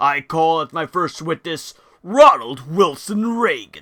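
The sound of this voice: Using a cartoonish character voice, a man talks at a fairly slow pace with a high pitch.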